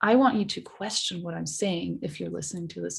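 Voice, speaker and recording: The woman's voice is somewhat breathy. She talks with a non-native accent. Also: quiet background. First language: not English. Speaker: social media researcher. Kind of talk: podcast interview.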